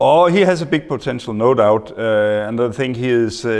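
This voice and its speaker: Noticeable background noise fills this clip. A man's speech moves at a moderate speed. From Denmark. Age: 50s. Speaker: football coach. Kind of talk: interview. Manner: halting.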